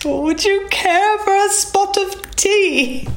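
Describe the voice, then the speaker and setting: In a put-on character voice pitched extremely high, the speaker goes at a very slow pace over clear background noise. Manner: refined, exaggerated.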